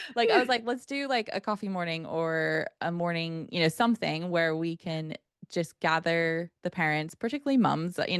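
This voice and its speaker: A woman in an American accent, fairly low in pitch, at a moderate pace with ordinary pitch variation and a dry, close sound with no echo. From United States. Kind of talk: interview conversation. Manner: animated, many fillers.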